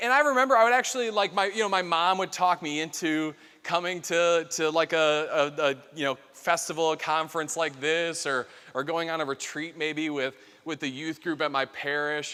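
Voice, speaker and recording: In a very clean recording with a silent background, a man speaks at a fairly high pitch with a bright, sharp tone and ordinary pitch variation. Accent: Chicago. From US Midwest, Chicago area. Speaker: keynote speaker. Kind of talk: keynote talk with personal testimony. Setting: stage with audience. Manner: fast; casual, many fillers and restarts.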